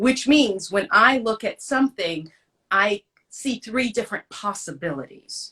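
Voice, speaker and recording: The pace is moderate. The intonation is lively. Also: woman. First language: French. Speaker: actress and podcast host. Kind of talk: interview.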